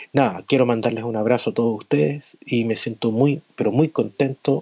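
A man's medium-pitched voice in a Chilean accent, dark and mellow in tone, at a moderate pace with ordinary pitch variation, in a dry, close sound with no echo. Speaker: adult education teacher. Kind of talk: recorded voice message.

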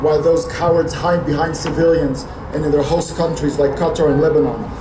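Against noticeable background noise, a man with a fairly high voice speaks at a fairly quick pace. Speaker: rally speaker, Israel advocate. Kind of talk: impassioned rally speech, pleading for support. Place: street. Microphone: podium.

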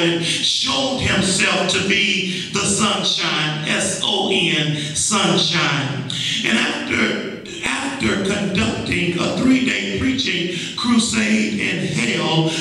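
A man talks at a very slow pace. Strong echo fills the room. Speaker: preacher. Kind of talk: sermon. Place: church.

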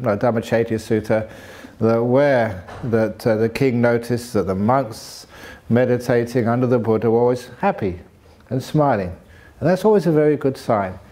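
A man speaks at a moderate pace with very even loudness and ordinary pitch variation. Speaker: monk teacher. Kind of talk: dharma talk to retreat audience. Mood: warm, humorous, laughing. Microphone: studio mic.

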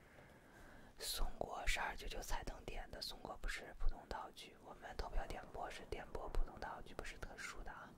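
Against loud background noise, a soft-spoken man talks at a moderate pace with hardly any pauses. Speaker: livestream host, ASMR streamer. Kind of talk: casual livestream chat with viewers. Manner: soft close-mic ASMR talking voice. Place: home room. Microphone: studio mic.

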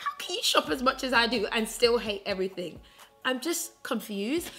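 A woman's high-pitched voice over faint background music. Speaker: fashion vlogger. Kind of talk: casual vlog chat. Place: home room.

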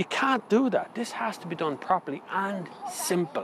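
The voice is animated and comes with an Irish accent. The sound is dry with no echo, over light background noise. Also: man. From Ireland. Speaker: car reviewer. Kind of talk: casual opinion talk to camera about electric cars. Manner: animated, ranting. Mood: opinionated, mildly exasperated. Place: street.

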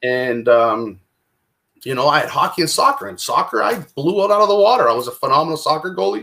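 The man's pace is very fast. Behind him, all is quiet. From Toronto, Canada. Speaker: recovery speaker. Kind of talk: personal testimony. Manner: casual. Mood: emotional personal storytelling. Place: home room. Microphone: webcam.

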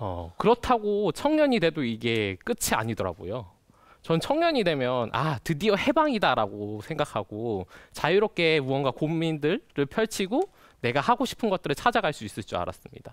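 A man at a moderate pace with very wide pitch swings, dry sound with no echo, and a quiet background. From Jeju. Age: 20s. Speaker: youth speaker; speaker. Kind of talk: prepared talk. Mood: earnest, lightly self-deprecating. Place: studio. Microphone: lapel.

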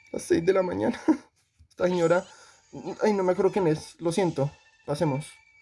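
A man speaks with music in the background. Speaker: gaming youtuber. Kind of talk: casual gameplay commentary. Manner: animated.

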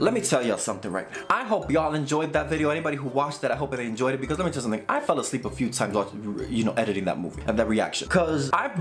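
Faint music plays behind a man who talks at a very fast pace with hardly any pauses. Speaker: reaction video host. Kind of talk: casual vlog chat. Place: home room.

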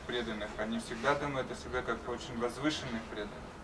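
A man speaking at a fairly quick pace with fairly even intonation, noticeable background noise behind him. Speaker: interpreter. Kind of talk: consecutive interpreting of lecture.

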